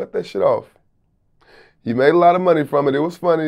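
A man speaks with an American accent at a fairly high pitch. The background is quiet. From Houston, Texas. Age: 30s. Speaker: rapper and music producer. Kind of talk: casual interview. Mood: relaxed, reflective, candid. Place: studio. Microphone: lapel.

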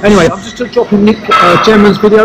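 A man speaks at a very fast pace against noticeable background noise. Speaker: gym vlog host. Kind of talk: casual vlog chat. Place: gym. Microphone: phone near.

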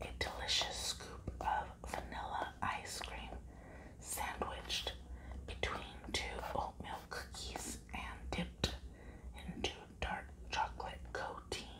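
Soft-spoken and whispering, a woman leaves long, frequent pauses against loud background noise. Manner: soft close whisper reading packaging. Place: home room. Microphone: lapel.

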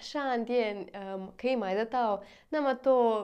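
A woman at a very slow pace, fairly high in pitch, with fairly even intonation and a quiet background. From Russia, Moscow; Russia. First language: Russian (speaking Chinese). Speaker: vlogger. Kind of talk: casual vlog. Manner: halting, with many fillers. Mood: cheerful, smiling. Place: home room.

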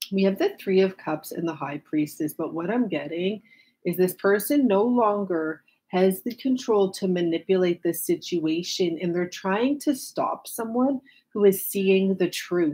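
A woman speaks at a fairly slow pace. Her tone is dark and mellow. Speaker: tarot reader. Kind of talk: tarot reading commentary to viewers. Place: home room.

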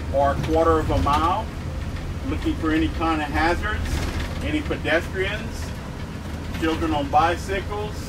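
Noticeable noise sits in the background. A man talks through it. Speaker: bus driving instructor. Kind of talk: tutorial. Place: bus.

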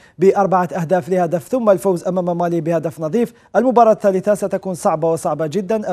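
With a dark, mellow tone and a high pitch, a man speaks at a fairly quick pace. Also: quiet background. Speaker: sports journalist guest. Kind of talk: news commentary. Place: studio. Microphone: lapel.

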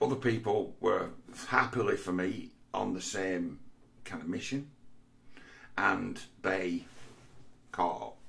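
Someone with an English accent talks at a very slow pace with long, frequent pauses, amid audible room echo. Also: man. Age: 40s. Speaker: vlogger. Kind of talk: monologue. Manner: halting.

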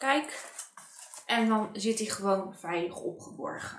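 Audible room echo and light background noise. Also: woman. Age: 30s. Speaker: beauty and craft vlogger; craft vlogger. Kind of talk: product review tutorial. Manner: casual, hesitant with fillers. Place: home room.

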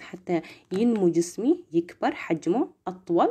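A soft-spoken woman talks at a medium pitch with lively intonation. Her tone is dark and mellow, over a quiet background. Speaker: nursing student tutor. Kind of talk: lecture. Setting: live stream. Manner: casual. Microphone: phone near.

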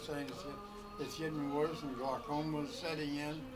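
A man speaks at a moderate pace. Clear music sounds behind him. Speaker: war veteran. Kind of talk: casual conversation. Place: shop. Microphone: camera far.

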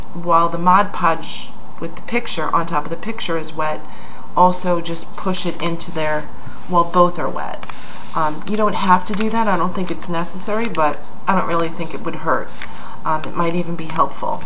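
A woman at a fairly low pitch and moderate pace, fairly even intonation, amid noticeable background noise. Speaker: craft demonstrator. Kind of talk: tutorial. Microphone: phone near.

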